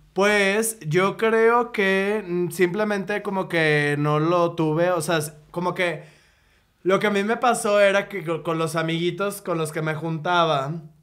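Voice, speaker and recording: Speaking at a very slow pace, a man has a high pitch. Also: ordinary pitch variation. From Monterrey, Mexico. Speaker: graphic designer and comedian. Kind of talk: casual chat.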